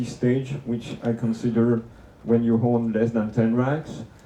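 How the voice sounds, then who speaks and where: A man speaks at a medium pitch with a French accent. Audible room echo can be heard. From France. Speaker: conference speaker. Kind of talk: conference talk. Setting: room with live audience. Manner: hesitant, many fillers.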